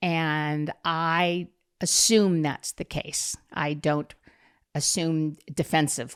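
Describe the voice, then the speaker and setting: In a very clean recording with a silent background, a woman with an American accent speaks in a very deep, low pitch. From Southern California. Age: 70s. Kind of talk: podcast interview.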